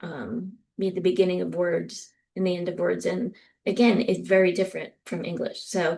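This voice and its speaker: In a New Jersey accent, a woman talks at a moderate pace. Her pitch is medium and her intonation fairly even. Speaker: professor. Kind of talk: lecture. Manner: frequent filler ums.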